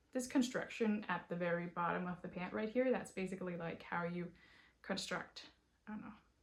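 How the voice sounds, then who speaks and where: Medium pitch and a somewhat breathy quality in a woman's voice. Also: ordinary pitch variation, fairly quick pace. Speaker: knitting podcaster. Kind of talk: casual chat. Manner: animated.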